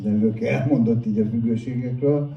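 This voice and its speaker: With noticeable background noise and audible room echo, a man at a medium pitch speaks at a fairly slow pace with fairly even intonation. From Hungary, Budapest. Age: 60s. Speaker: addiction counsellor and recovery speaker. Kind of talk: public talk, personal testimony.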